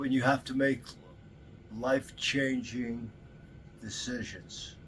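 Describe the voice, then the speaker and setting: Noticeable background noise sits behind this recording. A man talks at a medium pitch and a fairly slow pace. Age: 70s. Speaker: retired electrician. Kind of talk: interview.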